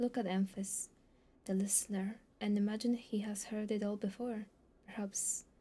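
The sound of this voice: The intonation is fairly even. The reading voice sounds unforced.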